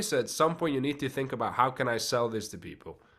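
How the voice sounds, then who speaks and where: A man speaks with a slight non-native accent. His tone is bright and sharp. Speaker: podcast host, actor. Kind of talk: podcast interview.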